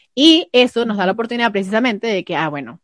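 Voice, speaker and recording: Against a quiet background, a woman with a plain, everyday voice talks at a fairly quick pace and with lively intonation, the sound dry and close with no echo. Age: 20s. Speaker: podcast co-host. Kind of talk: casual chat.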